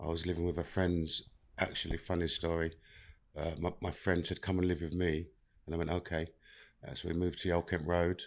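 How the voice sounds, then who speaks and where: A man with a London accent speaks very fast in a very deep, low voice, his intonation monotone and flat, over a quiet background. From South London. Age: 50s. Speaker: mental health and inclusion worker with past prison time. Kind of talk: podcast interview, life story.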